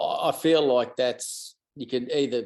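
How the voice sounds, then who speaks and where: In an Australian accent, a man speaks fairly slowly at a medium pitch with ordinary pitch variation. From outback Queensland, Australia. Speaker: country musician. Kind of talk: interview. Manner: halting, many fillers.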